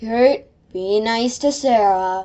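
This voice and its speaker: A woman puts on a character voice at a fairly high pitch. Her pitch varies in an ordinary way. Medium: read story. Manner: cheerful, mildly confused.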